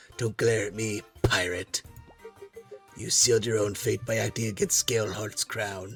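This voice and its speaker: Over faint background music, a man does a put-on character voice that is raspy and fairly low in pitch, moving at a moderate pace. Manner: stern, accusatory.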